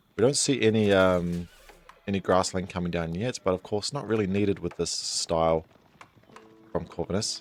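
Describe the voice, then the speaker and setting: A man with a very deep, low voice at a moderate pace, with ordinary pitch variation, long and frequent pauses, and music in the background. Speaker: esports caster. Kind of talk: live game commentary.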